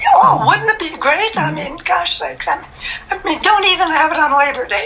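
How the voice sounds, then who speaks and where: A woman's extremely high, raised and projected voice with an American accent, fairly quick, with very wide pitch swings, big swings in loudness and noticeable background noise. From Minnesota. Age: 80s+. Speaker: masters runner. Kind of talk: interview answer.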